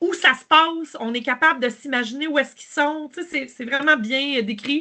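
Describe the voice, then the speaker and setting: A woman with a Quebec accent projects a raised voice with a bright, sharp tone. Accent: Québécois. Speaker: podcast host. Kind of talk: casual chat. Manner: halting, many fillers and repetitions.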